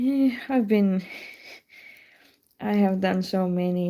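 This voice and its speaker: A woman's dark, mellow tone at a very slow pace. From Estonia. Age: 30s. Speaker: lace knitter. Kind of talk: casual livestream chat. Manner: halting.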